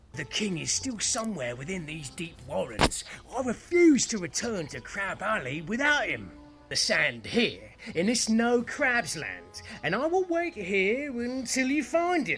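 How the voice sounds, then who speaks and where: Over clear background music, a man puts on a high-pitched character voice at a moderate pace. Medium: machinima.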